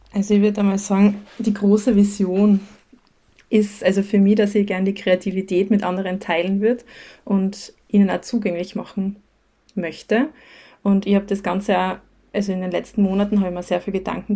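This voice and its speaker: Somewhat breathy and dark, mellow in tone, the voice moves at a fairly quick pace with monotone, flat intonation. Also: woman, medium pitch for a woman. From Austria, Styria (near Graz). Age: 30s. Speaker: teacher and creative small-business owner. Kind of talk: casual interview.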